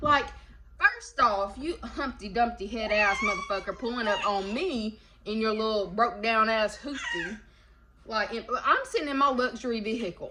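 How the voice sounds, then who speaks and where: Over noticeable background noise, a woman talks at a moderate pace in an animated tone, her fairly high pitch showing ordinary variation. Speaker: tarot reader. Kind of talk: casual chat. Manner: informal slangy speech.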